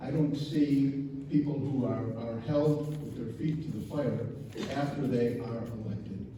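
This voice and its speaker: A man with an American accent and a fairly high pitch, at a moderate pace with ordinary pitch variation, amid noticeable background noise and audible room echo. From Chicago, southeast side. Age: 70s. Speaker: resident giving public comment. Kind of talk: public comment.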